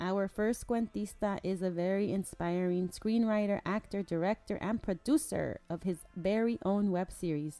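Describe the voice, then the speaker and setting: Music plays behind a woman with an American accent. She speaks fairly slowly at a medium pitch with fairly even intonation. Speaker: podcast host. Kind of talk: podcast introduction.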